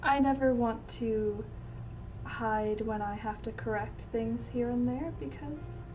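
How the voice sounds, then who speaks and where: Very slow speech with audible room echo. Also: woman. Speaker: fashion illustrator. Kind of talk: livestream art tutorial chat. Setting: livestream.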